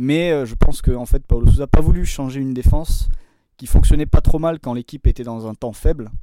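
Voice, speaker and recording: Using ordinary pitch variation at a medium pitch, a man talks in an unremarkable speaking voice. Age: 30s. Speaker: football video and performance analyst. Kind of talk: podcast interview.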